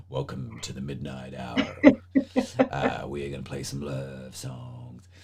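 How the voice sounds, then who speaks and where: A raspy, put-on character voice at a fairly slow pace, with clear background noise. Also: man, very deep, low pitch for a man. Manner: smooth, mellow.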